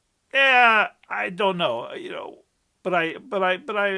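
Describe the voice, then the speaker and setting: A man's raised, projected voice, high-pitched, bright and sharp, with lively intonation and an American accent, on a very clean recording with a silent background. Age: 70s. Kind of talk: casual talk to camera.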